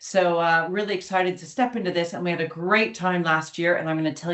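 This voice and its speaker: A plain, everyday voice from a woman with an American accent, fairly low in pitch, at a fairly quick pace. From United States. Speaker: academic, summer school co-director. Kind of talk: online information webinar presentation. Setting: webinar.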